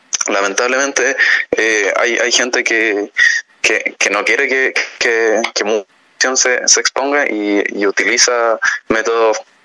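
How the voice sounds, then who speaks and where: A fairly slow pace amid noticeable background noise. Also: man. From Chile, Choapa province. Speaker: journalism student. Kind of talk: radio interview. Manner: halting, many repetitions.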